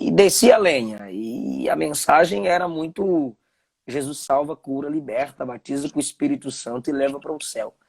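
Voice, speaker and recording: Recorded dry and close, the audio has no echo. The man speaks at a moderate pace. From Bahia, Brazil (Ilhéus). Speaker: preacher, live-stream host. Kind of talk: conversational interview, live stream. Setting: live video stream.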